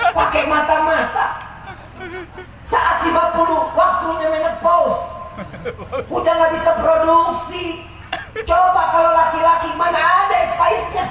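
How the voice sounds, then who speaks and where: A man with a Jakarta accent uses a raised, projected voice at an extremely high pitch for a man, keeping very even loudness and fairly even intonation. He moves at a fairly slow pace with long, frequent pauses, amid noticeable background noise and audible room echo. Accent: Betawi. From Jakarta, Indonesia. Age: 30s. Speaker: Islamic preacher. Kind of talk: sermon.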